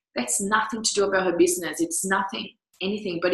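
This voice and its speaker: A woman speaks with a Portuguese accent and ordinary pitch variation. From Brazil. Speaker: business coach. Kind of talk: online coaching talk. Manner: animated.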